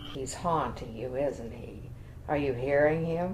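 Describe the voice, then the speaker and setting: Clear background noise sits behind a woman doing a put-on character voice. She pitches it very deep and low and talks at a fairly slow pace. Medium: voice reel.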